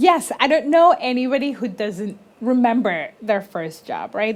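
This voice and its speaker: A woman with a Spanish accent speaks at a fairly slow pace, her fairly high pitch swinging very widely. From Colombia. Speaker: business consultant. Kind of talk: interview.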